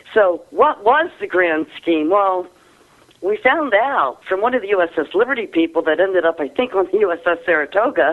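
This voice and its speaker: A woman speaks at a medium pitch with lively intonation and at a moderate pace. She has a plain, everyday voice. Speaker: author, researcher. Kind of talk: radio interview.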